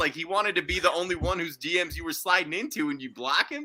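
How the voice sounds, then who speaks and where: Loud and animated, a man speaks at a high pitch. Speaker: sports podcast co-host. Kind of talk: casual chat.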